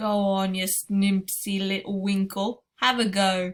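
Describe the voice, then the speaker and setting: A woman speaks fairly slowly in a put-on character voice at a medium pitch. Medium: read story. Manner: ungrammatical, invents and jumbles words; grand, theatrical pronouncements.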